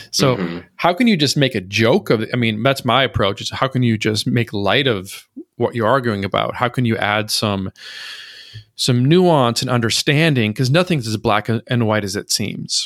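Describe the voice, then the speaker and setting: In an American accent, a man talks in a normal speaking voice with ordinary pitch variation. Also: medium pitch for a man, moderate pace. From rural Minnesota, US Midwest. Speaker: poet and meme creator. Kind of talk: casual interview conversation.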